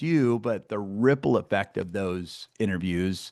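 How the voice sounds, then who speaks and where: Animated in tone, a man speaks with lively intonation at a moderate pace. The background is quiet. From US Midwest, Iowa. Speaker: success coach and podcast host. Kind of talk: casual interview chat.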